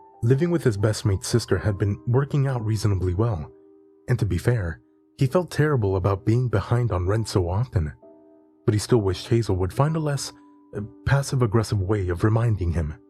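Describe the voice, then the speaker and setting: Music plays in the background as a man speaks. His intonation is lively and his pace fairly quick. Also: fairly low pitch for a man. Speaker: horror story narrator. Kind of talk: horror story narration.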